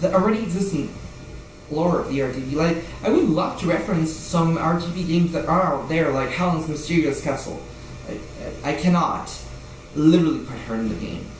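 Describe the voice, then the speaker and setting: Music plays in the background and audible room echo fills the space. The speech runs at a fairly quick pace with ordinary pitch variation. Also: man, high pitch for a man. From Brazil. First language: Portuguese. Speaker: indie game developer vlogger. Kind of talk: casual vlog rant. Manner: halting, many repetitions and restarts; animated.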